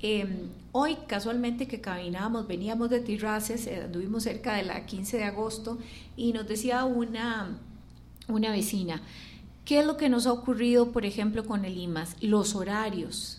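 A woman's somewhat breathy, fairly high voice at a fairly slow pace, with ordinary pitch variation and audible room echo. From Costa Rica. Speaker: architect and mayoral candidate. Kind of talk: radio interview.

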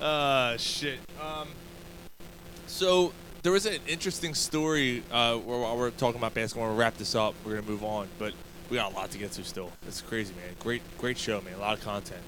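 A man talks with lively intonation while noticeable background noise carries on around him. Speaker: podcast host. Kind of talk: casual sports chat.

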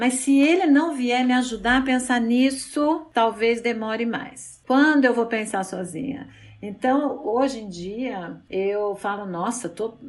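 A woman's high-pitched voice at a very slow pace, with ordinary pitch variation and hardly any pauses. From Brazil, São Paulo. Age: 50s. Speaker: psychologist and sex therapist. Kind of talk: interview.

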